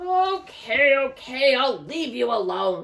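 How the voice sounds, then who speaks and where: A woman puts on a character voice in a high pitch, growling and cackling. She speaks at a fairly slow pace. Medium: read story. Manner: sly, wheedling.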